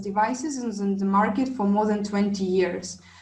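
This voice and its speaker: Audible room echo surrounds a woman's voice. She speaks at medium pitch and a moderate pace with ordinary pitch variation. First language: not English. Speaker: wellness device trainer. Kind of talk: online class presentation. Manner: halting, many fillers.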